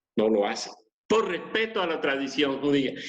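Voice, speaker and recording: Audible room echo surrounds this voice. A man speaks at fairly high pitch. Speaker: pastor. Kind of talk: sermon.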